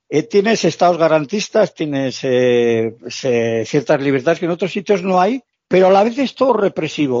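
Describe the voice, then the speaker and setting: A man speaks with very wide pitch swings. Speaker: long-term traveller. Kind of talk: interview.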